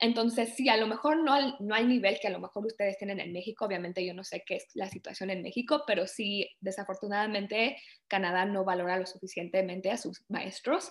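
With an unremarkable speaking voice, a woman talks at a fairly quick pace and ordinary pitch variation. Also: medium pitch for a woman. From Canada (born in Mexico, moved at age 4). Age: 20s. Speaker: project manager in cybersecurity. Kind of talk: interview.

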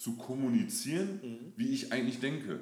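Audible room echo surrounds a man talking at a moderate pace with very wide pitch swings. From Germany, moved around (Lower Saxony, Hesse, NRW). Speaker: fitness and mindset coach. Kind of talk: interview.

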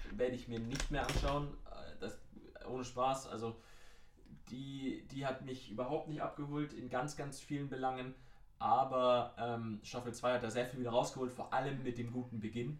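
Audible room echo surrounds a man of medium pitch talking at a moderate pace in a monotone, flat intonation, with long, frequent pauses. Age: 20s. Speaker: podcast co-host. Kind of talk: casual chat.

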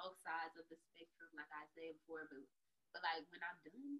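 A woman's fairly low voice at a moderate pace. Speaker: podcast host. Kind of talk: casual chat. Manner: animated.

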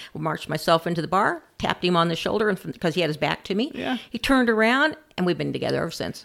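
A woman with an American accent and a fairly low pitch talks very fast with lively intonation and hardly any pauses, over noticeable background noise. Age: 60s. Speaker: grandparent raising grandchildren. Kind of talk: interview, personal story.

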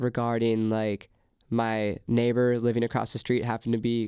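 With a West Coast accent, a man speaks at medium pitch in a monotone, flat intonation at a moderate pace, on a very clean recording with a silent background. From California, Ventura. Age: 20s. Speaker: singer-songwriter and DJ. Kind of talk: casual chat. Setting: recording studio.

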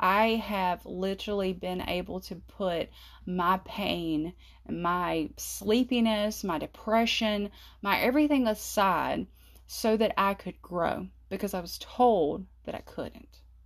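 At a very slow pace, a woman talks with a Southern US accent. The recording is very clean, with a silent background. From US South, South Carolina. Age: 30s. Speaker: podcast host. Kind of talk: casual monologue. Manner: talkative.

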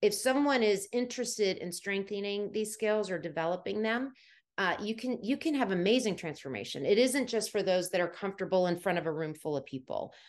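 A woman with an American accent talks at a fairly quick pace in an unremarkable speaking voice, her medium pitch carrying lively intonation over a quiet background. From US, Washington DC area. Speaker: soft skills trainer and former HR professional. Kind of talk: interview conversation.

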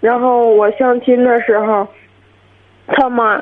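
A woman speaks in a high pitch at a fairly slow pace. Her intonation is monotone and flat. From Hebei, Qinhuangdao. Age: 20s. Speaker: caller, divorced mother. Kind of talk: radio call-in conversation. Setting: phone call.

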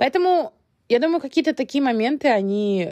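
A quiet background surrounds speech delivered at a moderate pace. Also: woman. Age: 30s. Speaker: podcast host. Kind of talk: solo podcast monologue. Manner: hesitant, many fillers.

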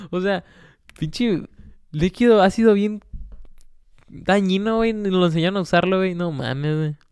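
Animated and high-pitched, a man speaks with a Mexican accent, ordinary pitch variation and long, frequent pauses. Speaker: solo podcast host. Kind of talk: casual monologue.

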